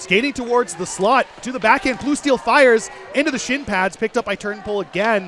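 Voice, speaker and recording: A man with a Canadian accent speaks at an extremely high pitch and a fairly quick pace, with ordinary pitch variation. Music plays in the background. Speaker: ice hockey color commentator. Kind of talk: live commentary. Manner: animated.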